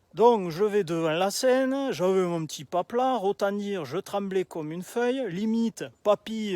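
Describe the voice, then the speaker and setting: In a Toulouse accent, a man with a high voice and ordinary pitch variation is heard in a dry, close sound with no echo on a very clean recording with a silent background. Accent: southern French (Toulouse). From southern France, Toulouse area. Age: 30s. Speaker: aspiring public speaker. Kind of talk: storytelling video pitch. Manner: casual, many filler hesitations.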